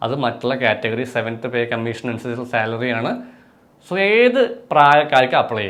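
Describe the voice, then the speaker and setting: A man with an unremarkable speaking voice talks at a medium pitch. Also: fairly even intonation. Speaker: exam coaching tutor. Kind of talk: tutorial; sales pitch.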